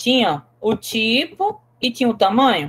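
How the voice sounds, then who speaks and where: A woman is speaking. Her pace is very slow. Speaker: teacher. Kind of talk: lecture.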